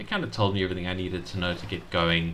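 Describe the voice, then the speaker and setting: A man mumbles at a very fast pace. His pitch is very deep and low. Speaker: game reviewer. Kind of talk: casual game review commentary. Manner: mumbling, hesitant.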